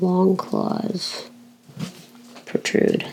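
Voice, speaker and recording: Over noticeable background noise, a woman speaks at a medium pitch with an American accent. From Florida, USA. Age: 20s. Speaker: filmmaker and writer. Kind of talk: drafting a story aloud.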